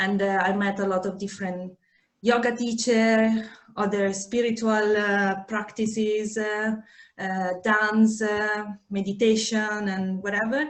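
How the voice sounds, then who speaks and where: A woman speaks fairly slowly with an Italian accent. Her fairly high voice stays monotone, with flat intonation. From Italy. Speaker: yoga teacher and menstrual cycle therapist. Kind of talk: podcast interview. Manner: halting, many fillers.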